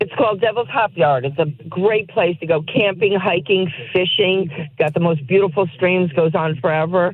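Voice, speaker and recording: A woman with an American accent and a fairly low pitch, over noticeable background noise. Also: ordinary pitch variation, moderate pace. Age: 60s. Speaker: caller. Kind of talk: radio call-in. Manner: enthusiastic.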